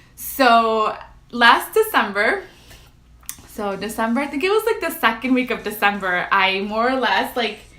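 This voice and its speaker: A woman speaks at a moderate pace and a fairly high pitch with ordinary pitch variation, in a room with audible echo. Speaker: lifestyle vlogger. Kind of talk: casual livestream chat. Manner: loud; casual, filler-heavy.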